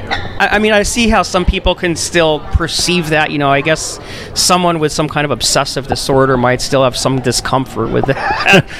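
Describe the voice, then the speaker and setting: A man's fairly high voice at a moderate pace, with hardly any pauses, ordinary pitch variation, and music in the background. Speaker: paranormal investigator. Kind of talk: casual chat. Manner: loud.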